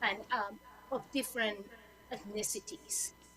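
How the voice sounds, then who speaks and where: Through noticeable background noise, a woman with a Spanish accent speaks with fairly even intonation. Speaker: lawyer. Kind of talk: panel talk.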